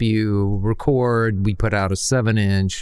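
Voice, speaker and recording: A man's ordinary speaking voice, medium in pitch, at a fairly slow pace. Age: 60s. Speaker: indie musician. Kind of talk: podcast interview.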